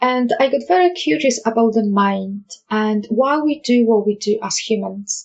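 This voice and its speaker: Somewhat breathy, a woman speaks with a fairly high pitch. Her intonation is lively. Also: moderate pace. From Poland. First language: Polish. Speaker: life coach. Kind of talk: podcast monologue.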